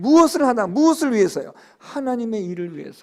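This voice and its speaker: The recording is very clean and the background silent. A man talks with lively intonation. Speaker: pastor. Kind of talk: sermon.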